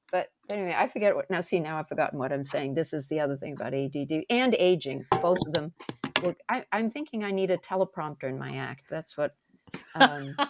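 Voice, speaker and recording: A fairly quick American accent with lively intonation, in dry, close sound with no echo. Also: woman, very deep, low pitch for a woman. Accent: Boston accent, mostly toned down. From Massachusetts, Brockton (Boston area). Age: 70s. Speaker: stand-up comedian. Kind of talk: casual chat. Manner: animated.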